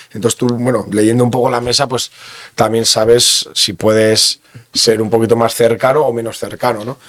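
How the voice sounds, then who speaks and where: Against noticeable background noise, a man speaks in a flat monotone at a medium pitch. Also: moderate pace. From Basque Country, Bergara (Gipuzkoa). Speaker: sommelier. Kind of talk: interview. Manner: halting.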